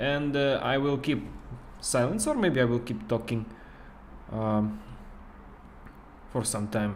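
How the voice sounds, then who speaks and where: With a non-native accent, a man speaks at a moderate pace and medium pitch with ordinary pitch variation, and audible room echo fills the recording. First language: not English. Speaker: game studio marketer and streamer. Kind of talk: casual livestream chat. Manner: halting, many fillers.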